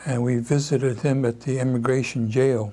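His tone dark and mellow and somewhat breathy, a man speaks at a fairly slow pace and medium pitch with fairly even intonation. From Seattle, USA. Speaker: civil rights leader. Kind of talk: oral history interview answer. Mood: reflective, calm recollection. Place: home room.

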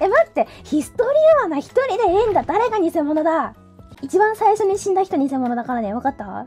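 A woman speaks in a playful tone at a fairly quick pace, her extremely high voice swinging very widely in pitch over music in the background. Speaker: VTuber streamer. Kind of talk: casual gameplay stream commentary. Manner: excitable, playful.

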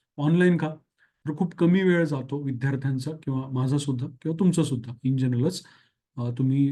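The tone is dark and mellow, somewhat breathy, with fairly even intonation. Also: man. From Marathwada, Maharashtra (Dharashiv). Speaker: exam coaching teacher. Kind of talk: course announcement.

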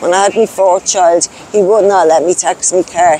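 A woman speaks with a Dublin accent at a moderate pace. The sound is dry with no echo, and there is light background noise. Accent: Dublin Irish. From Ireland, Dublin (Clondalkin). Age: 40s. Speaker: person in recovery from addiction, homeless; interviewee. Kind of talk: testimony. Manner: halting. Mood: sad, grieving. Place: street. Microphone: lapel.

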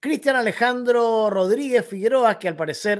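With a quiet background, a man talks with lively intonation. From Chile. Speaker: political commentary youtuber. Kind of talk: opinion commentary monologue. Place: home room.

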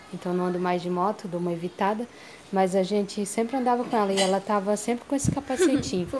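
A woman talking at a very fast pace over light background noise. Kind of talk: casual vlog chat. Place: street. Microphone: phone near.

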